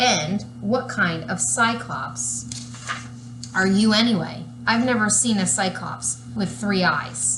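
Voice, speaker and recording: A woman's booming, put-on character voice with a fairly low pitch and a fairly slow pace, over clear background noise. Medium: read story. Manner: whiny, exasperated.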